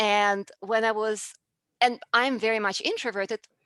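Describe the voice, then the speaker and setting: In a Russian accent, a woman speaks at a very slow pace with a fairly high pitch and a bright, sharp tone. The recording is very clean with a silent background, dry and close with no echo. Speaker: public speaking coach. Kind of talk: interview.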